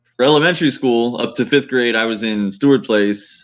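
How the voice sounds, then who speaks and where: Here is a man with an American accent and an unremarkable speaking voice at a medium pitch. He talks at a fairly quick pace with ordinary pitch variation. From Harlingen, Texas. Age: 30s. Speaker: author and firefighter-paramedic. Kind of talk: interview.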